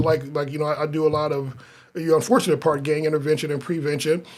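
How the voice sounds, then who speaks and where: A man with an American accent, fairly high in pitch, at a fairly quick pace. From US Midwest, North Omaha, Nebraska. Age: 50s. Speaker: pastor. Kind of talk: casual chat. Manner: halting, many repetitions and restarts.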